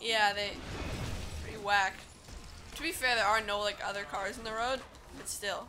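A medium tempo and mostly level intonation against clearly audible background noise. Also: woman. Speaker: gaming YouTuber. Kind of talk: casual let's play commentary. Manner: frequent laughter.

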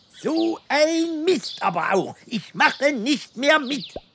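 A cartoonish, high-pitched character voice at a fairly slow pace. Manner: complaining, cheeky.

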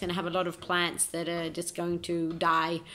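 A woman's fairly low voice at a moderate pace, monotone with flat intonation. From Australia. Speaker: amateur footballer. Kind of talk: self-recorded video monologue. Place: home room. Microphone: phone near.

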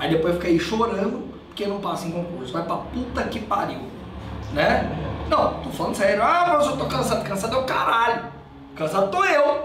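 Swinging very widely in pitch, a man with a high voice talks at a moderate pace amid audible room echo and noticeable background noise. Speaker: criminal law teacher. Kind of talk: lecture. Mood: agitated, scolding, joking. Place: classroom. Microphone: camera far.

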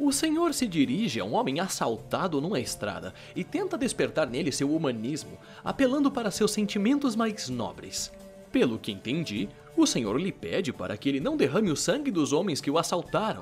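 A man's whiny put-on character voice, high in pitch with very wide pitch swings, at a moderate pace over clear music in the background. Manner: mocking, talkative, whiny.

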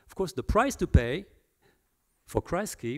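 Over a quiet background, a man's pitch swings very widely. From France. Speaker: historian; guest. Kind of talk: public talk. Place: hall. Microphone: handheld.

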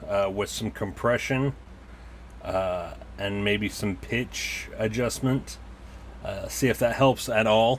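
Fairly slow speech with ordinary pitch variation over light background noise. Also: man. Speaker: toy collector reviewer. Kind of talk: casual review chat. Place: home room. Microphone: camera far.

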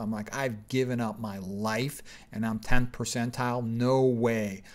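This voice belongs to a man. Fairly even intonation runs through his speech. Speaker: physician educator. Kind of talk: lecture. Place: home room. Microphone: webcam.

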